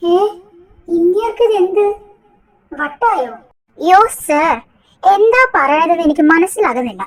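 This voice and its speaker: A woman's put-on character voice at an extremely high pitch, with lively intonation, very even loudness and a fairly slow pace. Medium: audio drama.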